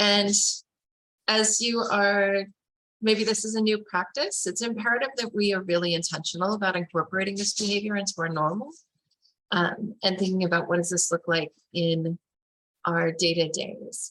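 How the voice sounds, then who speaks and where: Speaking at a moderate pace with long, frequent pauses, a woman uses a medium pitch and ordinary pitch variation. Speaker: webinar facilitator. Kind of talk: webinar presentation.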